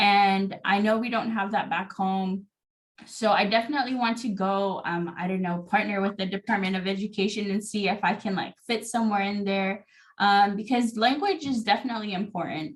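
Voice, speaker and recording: A woman's voice, somewhat breathy and medium in pitch, carries fairly even intonation. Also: moderate pace. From American Samoa. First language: Samoan. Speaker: podcast guest. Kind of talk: casual interview chat.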